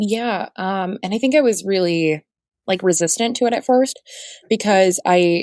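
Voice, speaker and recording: A woman speaks in an unremarkable speaking voice with an American accent, at a medium pitch with ordinary variation. Her pace is fairly slow, and the recording is very clean with a silent background. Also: dry, close sound with no echo. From Southwest Florida. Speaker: radio reporter. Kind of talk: podcast interview answer. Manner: casual, conversational.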